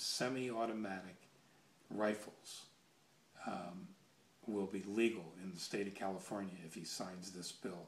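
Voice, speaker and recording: A man's fairly low voice at a fairly slow pace, with long, frequent pauses, big swings in loudness and audible room echo. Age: 60s. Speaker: gun enthusiast video blogger, military veteran. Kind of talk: casual monologue vlog. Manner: halting, many fillers.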